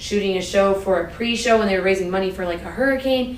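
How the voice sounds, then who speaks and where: The speaker has an American accent and fairly even intonation. Noticeable background noise can be heard. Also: woman. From US East Coast. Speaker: university athletics administrator. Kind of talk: casual interview chat.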